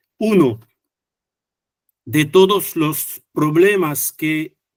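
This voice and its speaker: Fairly high-pitched male speech in a French accent, with ordinary pitch variation, on a very clean recording with a silent background. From France. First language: French (speaking Spanish). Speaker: economics researcher. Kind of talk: conference talk. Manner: halting, many fillers and restarts.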